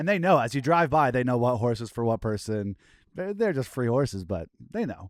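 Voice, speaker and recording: A man speaks at medium pitch and a fairly quick pace. His pitch swings very widely. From Canada. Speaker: podcast co-host. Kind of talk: casual chat. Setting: remote call.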